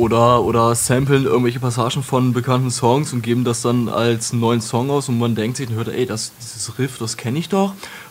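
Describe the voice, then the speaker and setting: Against noticeable background noise, a man talks at a moderate pace with fairly even intonation and hardly any pauses. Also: medium pitch for a man. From Lower Saxony, Germany (Wolfenbüttel). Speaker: metal singer and retail worker. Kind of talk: casual interview.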